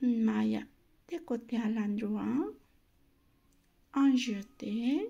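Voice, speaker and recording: Very slow speech in a non-native accent comes with long, frequent pauses. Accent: non-native French accent, self-noted. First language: not French (speaking French). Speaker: knitting instructor. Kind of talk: tutorial. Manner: slow, step-by-step; halting.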